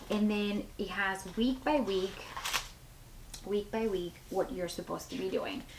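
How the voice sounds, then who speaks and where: The speech goes at a fairly slow pace with long, frequent pauses over noticeable background noise. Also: woman, medium pitch for a woman, ordinary pitch variation. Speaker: lifestyle vlogger, mom. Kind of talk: casual vlog talk to camera. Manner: chatty, many fillers.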